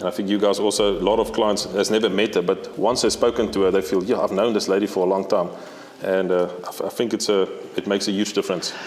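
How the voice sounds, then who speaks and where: A man with a non-native accent talks at a very fast pace in a fairly low pitch with monotone, flat intonation. His loudness stays very even over noticeable background noise. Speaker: safari outfitter. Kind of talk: casual interview chat.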